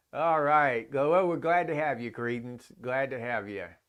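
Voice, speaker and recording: A man's fairly high, fairly slow voice, a normal speaking voice, with ordinary pitch variation and a quiet background. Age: 50s. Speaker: livestream host. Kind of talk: casual chat. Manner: casual, loose and profane.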